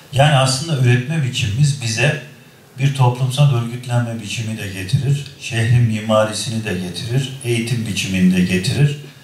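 At a moderate pace and medium pitch, a man talks with ordinary pitch variation. Light background noise and audible room echo fill the recording. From Kocaeli, Turkey; Turkey. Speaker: provincial governor and economist; guest. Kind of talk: university talk with students. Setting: university hall with audience. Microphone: podium.

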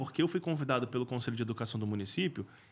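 Lively intonation marks this man's very fast delivery. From Rio de Janeiro, Brazil. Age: 40s. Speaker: school safety specialist, former firefighter. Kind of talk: interview.

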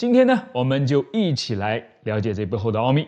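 Against a quiet background, the speaker moves at a fairly quick pace with lively intonation. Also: man. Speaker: science channel host. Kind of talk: science explainer. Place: studio.

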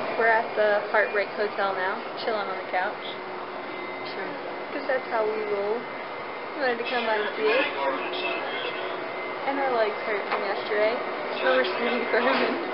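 Long, frequent pauses break up the speech, and loud background noise fills the clip. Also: woman, moderate pace. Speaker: vlogger. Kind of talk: casual vlog chat. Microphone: phone near.

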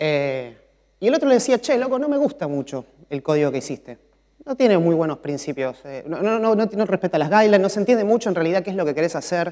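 Pitched high for a man, this voice swings very widely and races at a very fast pace. The background is quiet. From Argentina. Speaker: mobile software developer; conference speaker. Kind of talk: conference talk. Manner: frequent filler 'eh' hesitations. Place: stage. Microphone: lapel.

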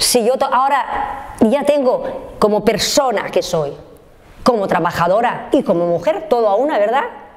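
A woman speaks in a high pitch. Her pitch swings very widely. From Spain, Valencia region (Oliva); Valencia, Spain. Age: 60s. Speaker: factory worker and trade unionist; factory worker. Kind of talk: life story interview. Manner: halting. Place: home room.

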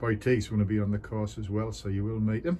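Light background noise sits behind a man speaking at a fairly low pitch. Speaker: course host. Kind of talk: casual vlog chat. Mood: relaxed and cheerful. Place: garden. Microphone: phone near.

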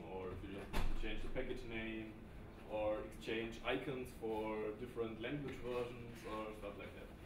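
There is audible room echo and noticeable background noise. A man talks at a fairly slow pace in a monotone, flat way. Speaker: conference speaker. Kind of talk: lecture. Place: classroom.

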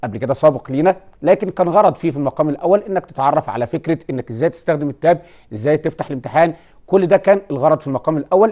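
Speaking at a very fast pace, a man has a dark, mellow tone. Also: ordinary pitch variation, quiet background. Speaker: teacher presenting a TV lesson. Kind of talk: lecture. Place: studio. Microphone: lapel.

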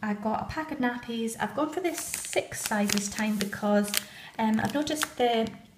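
In a room with audible echo, a woman speaks at a fairly high pitch with ordinary pitch variation.

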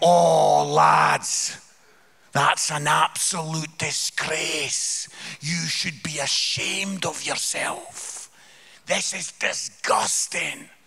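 In a Scottish accent, a man does a put-on character voice at a very slow pace. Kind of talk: comedic sermon storytelling. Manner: very slow, scolding.

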